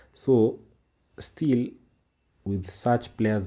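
A man with a Kenyan accent has a dark, mellow tone, a somewhat breathy sound and ordinary pitch variation. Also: very clean recording, silent background. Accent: Kenyan English, Sheng code-switching. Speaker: football podcaster. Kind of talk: solo commentary, code-switched English-Swahili. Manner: casual.

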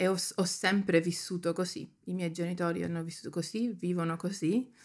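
Heard in a very clean recording with a silent background, a woman with a normal speaking voice talks at a fairly low pitch with fairly even intonation. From Germany. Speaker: photographer and writer. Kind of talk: casual interview chat.

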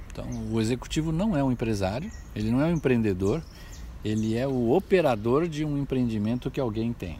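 A man speaks at medium pitch with a dark, mellow tone. His intonation is lively and his pace fairly quick. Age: 60s. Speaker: business consultant, former executive. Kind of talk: personal reflection monologue. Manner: halting, with many fillers.

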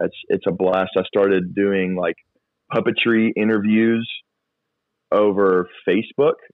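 A man with a fairly low voice and a slight Southern US accent talks at a fairly slow pace with very even loudness, fairly even intonation, and long, frequent pauses. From US South (Georgia, then Florida). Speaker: youth and children's pastor, puppeteer. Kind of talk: casual interview chat.

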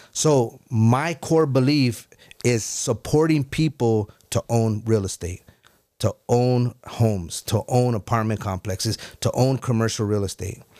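Recorded very clean with a silent background and a dry, close sound with no echo, a man speaks at a medium pitch and a fairly slow pace, his dark, mellow tone showing ordinary pitch variation. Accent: American. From US, Mexican-Italian family. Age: 40s. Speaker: entrepreneur in financial services and real estate. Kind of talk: casual chat; motivational talk.

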